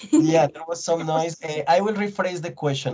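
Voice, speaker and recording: Someone speaks with a Colombian accent over noticeable background noise. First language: Spanish. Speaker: English teacher. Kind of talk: online class discussion. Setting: video call.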